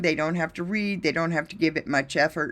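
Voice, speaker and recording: Recorded very cleanly against a silent background, the speaker has an ordinary speaking voice with ordinary pitch variation. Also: woman. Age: 60s. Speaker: drone pilot and video business owner. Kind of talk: presentation.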